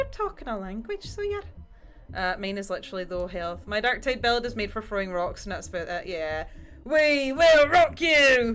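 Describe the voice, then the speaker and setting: Very wide pitch swings at a moderate pace, in a Scottish accent. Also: woman, fairly high pitch for a woman. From Scotland. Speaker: livestreamer painting miniatures. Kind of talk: casual livestream chat. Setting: livestream.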